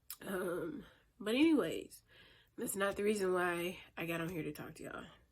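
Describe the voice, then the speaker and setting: A woman talks at a moderate pace and medium pitch, with ordinary pitch variation and audible room echo. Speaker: vlogger. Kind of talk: casual chat. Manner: hesitant, many fillers.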